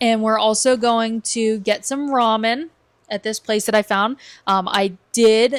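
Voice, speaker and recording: A woman's fairly high voice, a normal speaking voice, fairly even in intonation and fairly slow, in a very clean recording with a silent background and a dry, close sound with no echo. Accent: American. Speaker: travel vlogger. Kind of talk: casual podcast chat. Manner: casual, filler-heavy.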